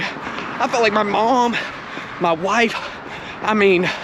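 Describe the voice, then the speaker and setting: With noticeable background noise present, the man talks in a high pitch. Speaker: triathlete vlogger. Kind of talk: vlog monologue while running. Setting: outdoors, running on trail. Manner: soft-spoken.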